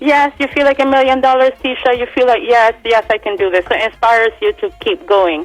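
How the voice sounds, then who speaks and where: With music in the background, a woman in a Swedish accent talks with hardly any pauses, her high voice making very wide pitch swings. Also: fairly quick pace. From Barbados (moved from Sweden as a child). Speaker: singer. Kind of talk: radio interview.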